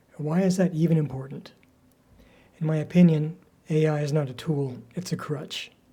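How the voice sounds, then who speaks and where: Somewhat breathy with a dark, mellow tone, a man speaks with fairly even intonation. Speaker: crafter and storyteller. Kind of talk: casual talk to camera.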